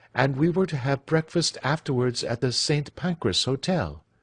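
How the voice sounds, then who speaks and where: A man with an American accent speaks at a fairly slow pace in a fairly high, somewhat breathy voice. The sound is dry and close with no echo, over a quiet background. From United States. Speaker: English teacher. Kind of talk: audiobook reading of classic fiction. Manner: clear.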